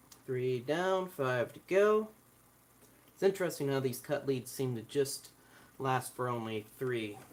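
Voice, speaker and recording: A soft-spoken man with a medium pitch talks at a fairly slow pace. His intonation is lively, broken by long, frequent pauses. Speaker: electronics hobbyist. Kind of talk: tutorial. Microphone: recorded voice too quiet.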